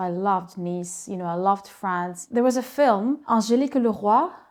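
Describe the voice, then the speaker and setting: With a Russian accent, a woman speaks at a moderate pace and medium pitch, using ordinary pitch variation. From Ukraine, Kharkiv. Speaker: school co-founder, entrepreneur. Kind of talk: interview.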